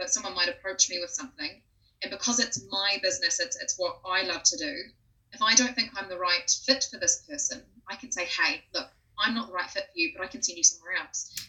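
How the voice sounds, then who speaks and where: The pace is fairly quick. The speaker has a Southland New Zealand accent. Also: woman. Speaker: speech pathologist and voice coach. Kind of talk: interview.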